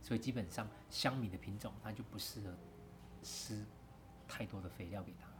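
A man with a Taiwanese accent speaks at a moderate pace with long, frequent pauses, a fairly low pitch and ordinary pitch variation. Vocal fry and audible room echo are present. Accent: Taiwanese Mandarin. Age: 40s. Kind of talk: casual interview. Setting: outdoors by rice fields.

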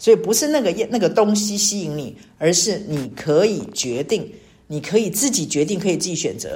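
A somewhat breathy, dark and mellow voice at a moderate pace, with lively intonation. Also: woman, medium pitch for a woman. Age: 60s. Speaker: church small-group leader. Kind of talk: devotional sharing.

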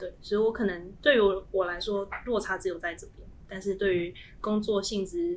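The woman's speech moves at a fairly quick pace. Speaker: semiconductor fab engineer. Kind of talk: casual chat.

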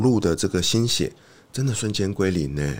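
On a very clean recording with a silent background, a man speaks in an ordinary speaking voice with lively intonation. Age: 40s. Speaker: author, former ad sales worker. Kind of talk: casual interview. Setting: studio.

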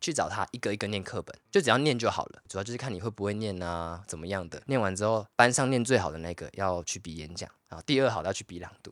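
With a Taiwanese accent, a man with a fairly low pitch talks at a very fast pace with hardly any pauses, big swings in loudness and lively intonation. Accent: Taiwanese Mandarin. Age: 20s. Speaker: podcast co-host. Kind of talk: casual chat.

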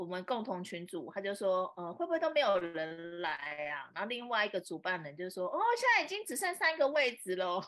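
A woman with a Taiwanese accent speaks at a medium pitch and a fairly quick pace. Her pitch swings very widely. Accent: Taiwanese Mandarin. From Taiwan, Taipei. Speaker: social media influencer and entrepreneur. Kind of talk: casual interview. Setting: live stream.

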